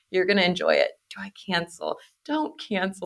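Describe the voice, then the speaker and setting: At a moderate pace, a woman talks in a Pacific Northwest accent. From Portland, Oregon. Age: 20s. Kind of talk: casual chat.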